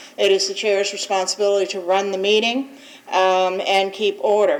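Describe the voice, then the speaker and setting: A woman of medium pitch speaks at a moderate pace with fairly even intonation. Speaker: board attorney. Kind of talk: public meeting briefing. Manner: loud.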